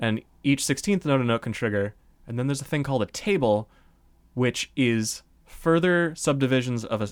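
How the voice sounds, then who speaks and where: A man uses a plain, everyday voice at a medium pitch, his intonation lively. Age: 20s. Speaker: chiptune musician. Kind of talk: interview.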